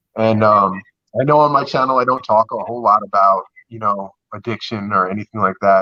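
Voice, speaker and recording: Bright and sharp in tone, a man talks at a fairly quick pace with fairly even intonation and long, frequent pauses, in a dry, close sound with no echo. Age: 30s. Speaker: recovering addict sharing story, YouTuber. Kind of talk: testimony. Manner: halting, repetitive.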